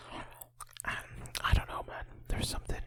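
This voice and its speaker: Whispering at a fairly slow pace, the speech sits over noticeable background noise. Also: man. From Northern Ireland. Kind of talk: ASMR channel catch-up talk. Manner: whispered.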